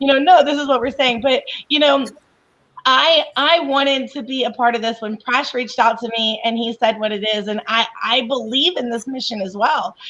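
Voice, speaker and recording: Bright, sharp tone with ordinary pitch variation. The pace is moderate. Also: woman, high pitch for a woman. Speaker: coach and professional organizer. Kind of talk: casual chat.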